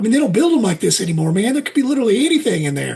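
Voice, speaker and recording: A put-on character voice, fairly high in pitch, with very wide pitch swings and a very fast pace. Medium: actual play. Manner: rambling, says 'man' constantly.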